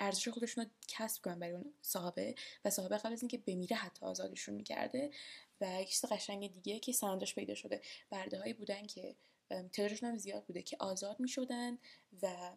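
A woman's medium-pitched voice with vocal fry, very fast, with ordinary pitch variation. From Tehran, Iran. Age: young. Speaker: podcast host. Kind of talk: solo podcast monologue. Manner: casual with many fillers.

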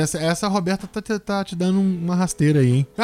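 Speaking fairly quickly in a Brazilian accent, a man uses a high pitch with ordinary pitch variation. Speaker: podcast host and journalist. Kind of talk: casual chat.

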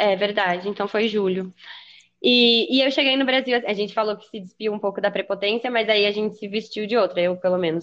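A woman with a plain, everyday voice at a medium pitch, with ordinary pitch variation and big swings in loudness over a quiet background. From São Paulo state, Brazil (São Paulo city and Taubaté). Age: 20s. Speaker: podcast guest. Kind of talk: casual chat.

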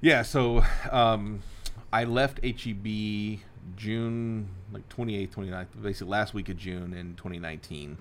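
Here a man with an American accent speaks very slowly at a fairly low pitch. His loudness swings widely. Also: ordinary pitch variation. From Texas, South Houston and near Waco. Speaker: real estate broker and investor, former grocery executive. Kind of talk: interview conversation.

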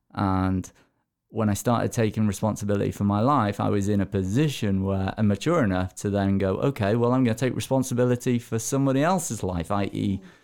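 A man in a normal speaking voice, fairly low in pitch with ordinary variation, at a fairly quick pace on a very clean recording with a silent background. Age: 30s. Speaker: mindset coach. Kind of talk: interview. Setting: studio.

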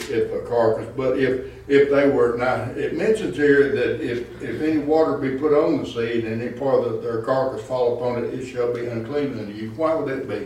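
A man with a Southern US accent, audible room echo and noticeable background noise. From Arkansas. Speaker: pastor. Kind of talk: Bible study teaching. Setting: church.

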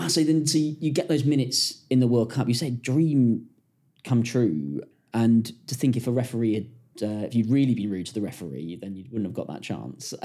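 Lively intonation from a man at medium pitch, fairly quick, with a dark, mellow tone. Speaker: podcast host. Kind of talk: casual interview.

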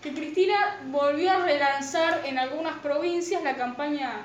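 The pitch varies in an ordinary way. There is audible room echo. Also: woman. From Argentina. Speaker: podcast co-host. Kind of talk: casual chat.

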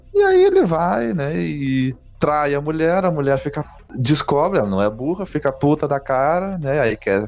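Over music in the background, a man with a southern Brazilian accent speaks fairly slowly at a fairly high pitch with lively intonation. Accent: gaúcho Brazilian Portuguese. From southern Brazil (Rio Grande do Sul). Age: 20s. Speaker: podcast co-host, advertising professional. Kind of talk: casual chat.

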